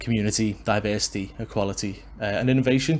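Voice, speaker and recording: The speaker goes at a fairly slow pace with fairly even intonation. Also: man. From Liverpool, England. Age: 20s. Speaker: wrestling podcaster and actor. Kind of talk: solo podcast monologue. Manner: casual with many fillers.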